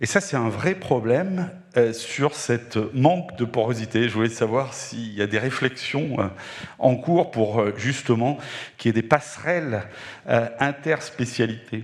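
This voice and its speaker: In a normal speaking voice, a man of medium pitch talks at a fairly slow pace with lively intonation. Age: 60s. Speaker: doctor in audience. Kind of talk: audience question.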